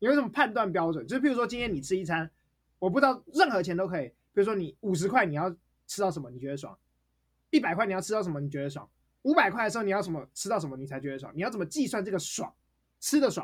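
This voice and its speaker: Animated speech at a very fast pace in a Taiwanese accent. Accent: Taiwanese Mandarin. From Taipei, Taiwan. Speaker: podcast co-host. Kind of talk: casual chat.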